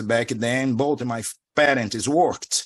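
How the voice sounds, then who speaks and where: A man in a Portuguese accent speaks at a fairly slow pace and a medium pitch against a quiet background. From Brazil. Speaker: spiritual teacher. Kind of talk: interview.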